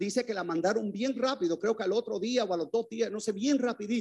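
Animated in tone, a man with a high pitch speaks with ordinary pitch variation. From Puerto Rico. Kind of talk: testimony.

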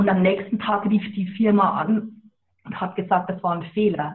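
Medium in pitch, a woman speaks with monotone, flat intonation. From Lower Bavaria, Germany. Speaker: author and animal communicator. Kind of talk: interview. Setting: phone call.

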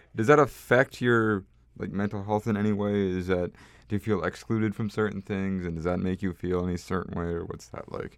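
Against a quiet background, a man with a plain, everyday voice speaks at a fairly quick pace, his fairly low pitch held in fairly even intonation. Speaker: podcast host. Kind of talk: casual interview chat, comedic intro.

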